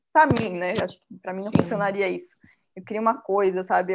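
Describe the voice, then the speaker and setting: A woman talks at a very fast pace. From Bahia, Brazil (Salvador). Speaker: baker and small business owner. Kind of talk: interview, casual.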